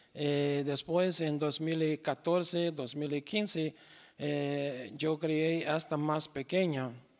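A man's fairly high voice with a Brazilian accent, very slow and fairly even in intonation, against a quiet background. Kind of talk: interview. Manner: halting with many fillers. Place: stage. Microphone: handheld.

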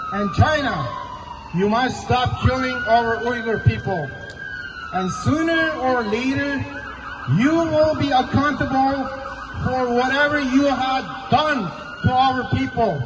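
The speech is very slow, broken by long, frequent pauses, with noticeable background noise. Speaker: protest speaker. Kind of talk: protest speech. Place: street.

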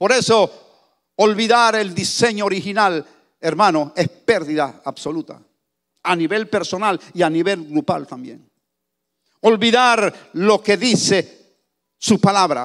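Against a quiet background, a high-pitched man speaks at a very slow pace with long, frequent pauses and ordinary pitch variation. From Panama. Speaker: pastor. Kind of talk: sermon. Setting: church. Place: church. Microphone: handheld.

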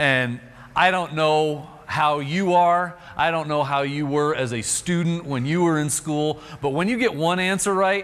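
Ordinary in pitch variation, a man speaks at a fairly slow pace. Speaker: preacher. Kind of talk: sermon. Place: church. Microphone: lapel.

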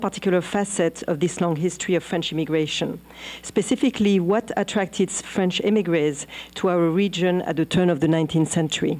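Fairly quick delivery with very even loudness and ordinary pitch variation. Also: woman. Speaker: guest lecturer. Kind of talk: lecture. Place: hall.

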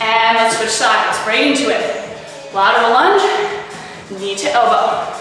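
A woman talks at a fairly slow pace. Strong room echo and light background noise fill the recording. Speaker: fitness instructor. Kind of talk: workout instruction cues. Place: gym.

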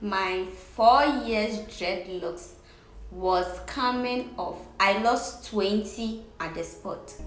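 A woman at medium pitch, with ordinary pitch variation, very slow pace and audible room echo. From Ghana. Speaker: vlogger. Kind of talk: casual talk to camera. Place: home room. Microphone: phone near.

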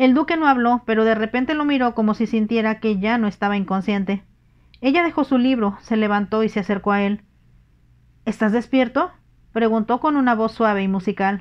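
A woman with a fairly high voice talks at a moderate pace with ordinary pitch variation. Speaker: audiobook narrator. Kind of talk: bedtime story reading aloud, audiobook narration in ASMR style. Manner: calm, intimate, lulling delivery.

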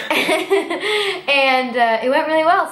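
A woman's voice with ordinary pitch variation, audible room echo and light background noise. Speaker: au pair channel host. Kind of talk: casual Q&A vlog chat. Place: home room. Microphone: camera far.

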